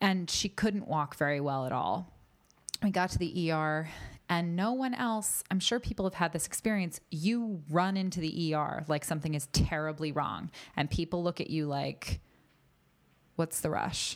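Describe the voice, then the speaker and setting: An ordinary speaking voice from a woman with an American accent, fairly low in pitch, at a moderate pace with ordinary pitch variation, in a very clean recording with a silent background. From US East Coast. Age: 30s. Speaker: actor and health advocate. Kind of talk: casual interview.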